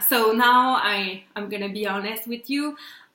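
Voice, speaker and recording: At a very slow pace, a woman speaks with a Quebec French accent. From Quebec, Canada. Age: 20s. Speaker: PR company owner. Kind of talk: casual talk to camera.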